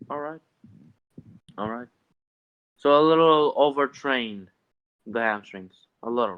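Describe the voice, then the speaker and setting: A medium-pitched man with a non-native accent and ordinary pitch variation speaks with long, frequent pauses and big swings in loudness. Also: fairly slow pace. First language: not English. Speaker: discord member asking fitness questions. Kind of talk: casual Q&A chat. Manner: halting.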